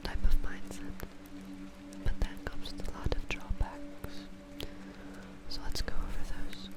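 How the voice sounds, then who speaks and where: A woman whispers at a fairly slow pace with long, frequent pauses against noticeable background noise. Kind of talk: ASMR-style talk to camera about game factions. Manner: soft, whispering.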